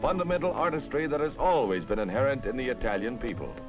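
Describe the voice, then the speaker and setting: Music plays behind a man talking at a fairly quick pace. His pitch swings very widely. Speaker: newsreel announcer. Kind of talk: 1950s newsreel narration. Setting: vintage archival recording. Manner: authoritative, brisk.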